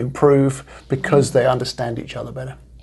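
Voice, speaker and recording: A man talks at a moderate pace with a fairly high pitch. His voice is somewhat breathy, and his intonation fairly even. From England. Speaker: leadership coach. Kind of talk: interview. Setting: studio. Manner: casual with some hesitations.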